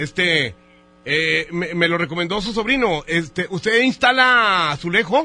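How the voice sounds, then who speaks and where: Speaking at a fairly slow pace, a man with high pitch has a bright, sharp tone and lively intonation. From northern Mexico, Monterrey. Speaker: radio host. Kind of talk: prank phone call.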